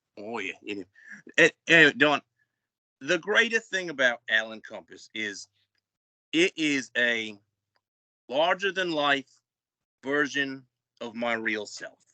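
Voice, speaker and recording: Speaking with an Australian accent, a man has a bright, sharp tone, a fairly slow pace, very wide pitch swings, big swings in loudness and long, frequent pauses, in a dry, close sound with no echo. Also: fairly high pitch for a man. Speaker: professional wrestler. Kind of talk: interview. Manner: animated.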